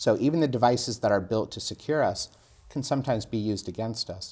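A man with an American accent and a normal speaking voice talks at a medium pitch and a fairly quick pace. Pitch variation is ordinary, and the recording is very clean with a silent background. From USA. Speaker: security executive. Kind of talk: interview.

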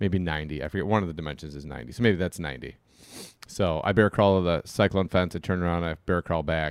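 Speaking at a very fast pace, a man with a very deep, low pitch and vocal fry comes through on a very clean recording with a silent background. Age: 40s. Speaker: disc golf podcast co-host. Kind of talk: casual chat.

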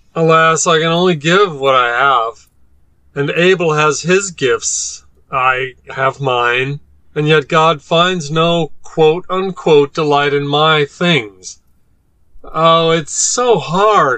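A man puts on a whiny character voice with a fairly high pitch at a very slow pace. His pitch varies in an ordinary way while his loudness stays very even. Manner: whiny, petulant, self-pitying.

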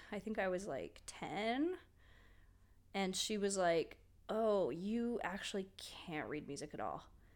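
This is an ordinary speaking voice with ordinary pitch variation, delivered at a fairly slow pace. The recording is very clean, with a silent background. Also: woman. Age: 30s. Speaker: musician and illustrator. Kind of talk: casual chat.

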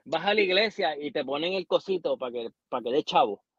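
Here is a man with a normal speaking voice. He talks at a moderate pace with lively intonation. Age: 30s. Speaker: podcast co-host. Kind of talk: casual chat.

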